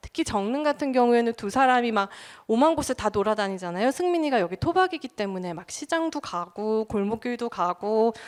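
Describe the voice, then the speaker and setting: In a very clean recording with a silent background and a dry, close sound with no echo, a woman with a fairly high pitch swings very widely in pitch. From Busan, South Korea. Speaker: film journalist. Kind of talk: public lecture.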